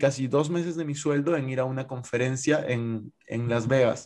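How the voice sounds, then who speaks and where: His tone is dark and mellow, and this man keeps a fairly even intonation. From Peru. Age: 20s. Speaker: investor and content creator. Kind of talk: casual interview.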